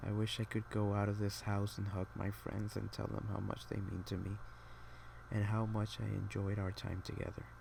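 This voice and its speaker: A man speaks quietly and somewhat breathily at a moderate pace. His voice is fairly low, with ordinary pitch variation. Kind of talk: casual talk to camera. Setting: home, quiet room with air conditioning hum. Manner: quiet, subdued, reflective.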